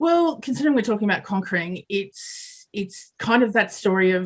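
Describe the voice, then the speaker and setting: A woman speaks at a fairly quick pace in a somewhat breathy voice, on a very clean recording with a silent background. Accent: Australian. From Australia. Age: 40s. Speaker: construction project manager and mentor. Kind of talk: podcast interview.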